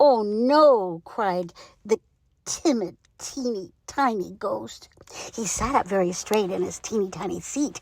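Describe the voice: Lively intonation over plain reading aloud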